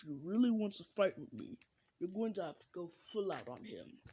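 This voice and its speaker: A man in a put-on character voice, high-pitched, at a moderate pace. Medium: solo performance. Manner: proud, grandiose.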